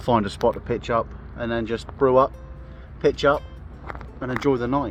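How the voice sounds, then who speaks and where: His accent is southern English. The man talks at a fairly brisk clip. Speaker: vlogger, canoeist. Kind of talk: outdoor vlog narration. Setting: outdoors on a river in a canoe. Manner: casual, hesitant with fillers.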